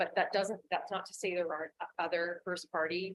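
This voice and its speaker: A woman with a Canadian accent talks at a fairly quick pace, her fairly low pitch held in a fairly even intonation. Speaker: risk management presenter. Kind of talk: presentation to council. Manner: fast; loud.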